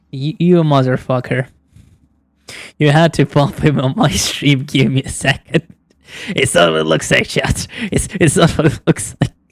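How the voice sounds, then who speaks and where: A woman speaks in a very deep, low pitch with vocal fry and a non-native accent. Her speech has long, frequent pauses. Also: ordinary pitch variation, moderate pace. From outside the US. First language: not English. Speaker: VTuber streamer. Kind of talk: live gameplay commentary.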